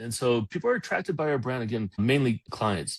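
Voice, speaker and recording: Here a man talks. The audio is dry and close, without any echo. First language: Polish. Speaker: company founder and CEO. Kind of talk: motivational talk in online interview. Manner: energetic.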